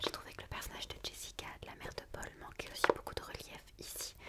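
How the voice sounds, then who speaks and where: A woman whispers in a gentle tone at a fairly quick pace over noticeable background noise. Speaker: book reviewer and ASMR creator. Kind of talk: book review monologue, casual talk to camera. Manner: soft, whispered, gentle.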